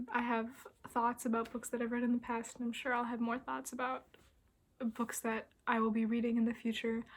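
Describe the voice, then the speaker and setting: Her pitch fairly high, a woman speaks at a fairly quick pace in a monotone, flat intonation. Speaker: book vlogger. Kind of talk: casual vlog monologue. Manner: soft-spoken.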